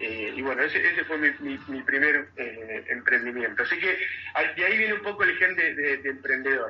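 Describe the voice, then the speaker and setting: A man speaks at a moderate pace with a Rioplatense accent. Music plays behind him. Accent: Argentine Rioplatense Spanish. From Argentina, Mar del Plata. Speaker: tech company CEO. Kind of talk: radio interview. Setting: radio. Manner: halting, frequent repetitions and fillers.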